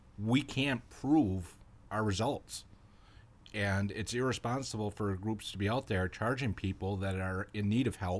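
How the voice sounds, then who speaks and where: An unremarkable speaking voice from a man, fairly low in pitch with ordinary pitch variation, moves at a fairly slow pace on a very clean recording with a silent background. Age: 40s. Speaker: retired police officer, paranormal investigator. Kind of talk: interview.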